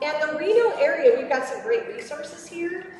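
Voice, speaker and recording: A loud woman at a moderate pace with lively intonation, audible room echo and noticeable background noise. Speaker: robotics program presenter. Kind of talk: presentation to kids and parents. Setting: room with live audience, no microphone. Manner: animated. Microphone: speaking without microphone.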